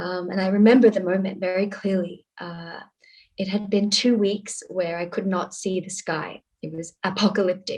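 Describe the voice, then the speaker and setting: At a moderate pace, a woman speaks in a medium pitch with a somewhat breathy voice, flat monotone intonation, and big swings in loudness. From Australia, Sydney. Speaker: activist. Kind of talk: panel discussion.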